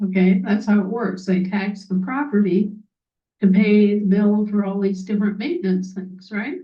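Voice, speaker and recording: Somewhat breathy and at medium pitch, a woman with an American accent speaks with audible room echo. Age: 60s. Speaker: activist speaker. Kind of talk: monologue. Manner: animated.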